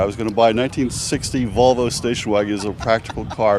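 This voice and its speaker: Very fast speech from a man at a medium pitch, over noticeable background noise. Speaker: classic car owner. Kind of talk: interview.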